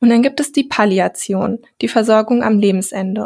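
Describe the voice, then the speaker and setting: A woman with a normal speaking voice and a fairly high pitch speaks at a moderate pace. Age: 20s. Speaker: health care researcher and podcaster. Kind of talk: podcast interview.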